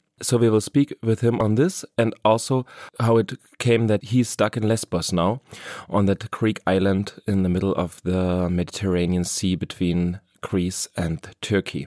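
A man speaks with a German accent at a moderate pace and a fairly low pitch, with ordinary pitch variation. His tone is dark and mellow, and the sound is dry and close, with no echo. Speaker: podcast host. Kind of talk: podcast intro and interview.

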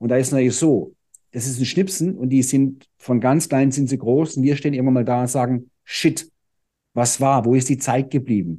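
Against a quiet background, a man talks at a moderate pace. His tone is dark and mellow, with ordinary pitch variation. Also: medium pitch for a man. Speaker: fitness trainer and speaker. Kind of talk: podcast interview. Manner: calm.

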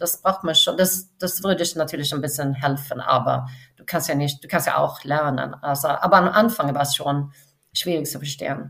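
A woman with a very deep, low voice, ordinary pitch variation and a moderate pace. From Sweden, west coast near Gothenburg. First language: Swedish (speaking German). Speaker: film studio finance executive. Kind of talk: interview. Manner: halting, many fillers.

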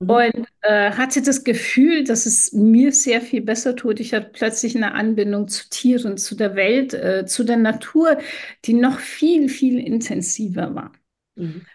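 A woman's plain, everyday voice, fairly high in pitch, at a fairly slow pace with ordinary pitch variation. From Iran. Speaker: podcast co-host and businesswoman. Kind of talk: personal storytelling in casual chat.

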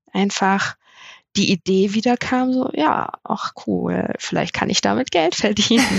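A woman talks at a fairly slow pace at a medium pitch, with vocal fry. Her pitch varies in an ordinary way, her loudness stays very even, and the sound is dry and close with no echo. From northern Germany, Melle near Osnabrück. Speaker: family and wedding photographer. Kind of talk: casual chat. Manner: hesitant, many filler sounds.

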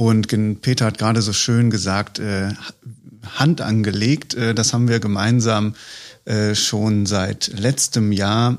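A man with a fairly low pitch at a very slow pace, long, frequent pauses, very even loudness, fairly even intonation, and a very clean recording with a silent background. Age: 30s. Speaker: head of corporate communications and marketing. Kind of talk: casual interview conversation. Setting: studio, at a table. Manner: frequent fillers.

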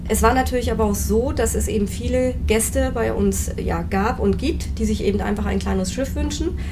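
A woman speaks with hardly any pauses and very even loudness, amid audible room echo and noticeable background noise. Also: moderate pace. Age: 40s. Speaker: cruise line sales representative. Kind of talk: interview. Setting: on board a cruise ship. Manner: hesitant, many filler sounds.

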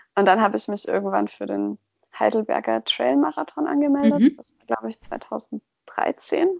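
Delivered at a moderate pace, the speech shows big swings in loudness. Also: woman. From Franconia, Germany (Kitzingen). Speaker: ultra trail runner. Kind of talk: interview.

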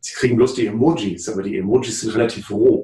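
The man's tone is dark and mellow. There is a somewhat breathy quality to his speech. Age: 50s. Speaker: psychotherapist and author. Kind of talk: interview.

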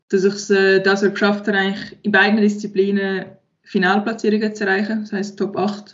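Her pitch is medium for a woman. She keeps up a fairly quick pace. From Switzerland, Aargau. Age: 20s. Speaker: professional sport shooter. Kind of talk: interview.

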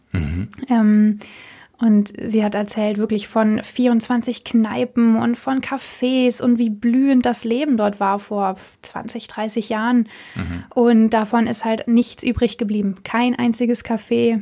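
Somewhat breathy and dark, mellow in tone, a woman speaks at a fairly high pitch. Her pace is very slow and her intonation monotone and flat. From Germany, Cologne. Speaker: journalism intern. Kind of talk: interview.

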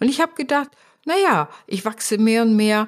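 A woman with an unremarkable speaking voice talks at a moderate pace, her intonation lively. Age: 60s. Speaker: podcast host, business coach and psychologist. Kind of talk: solo podcast monologue.

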